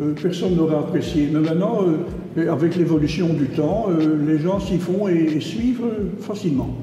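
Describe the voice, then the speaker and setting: A man with a high pitch talks at a moderate pace with ordinary pitch variation, with audible room echo and noticeable background noise. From Brussels, Belgium. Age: 80s+. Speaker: painter. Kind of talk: interview.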